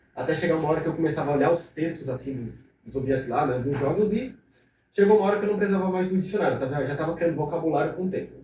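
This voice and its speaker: A man's fairly high voice at a very fast pace, with ordinary pitch variation and audible room echo. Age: 20s. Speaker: young entrepreneur. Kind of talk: podcast interview. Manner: casual, conversational.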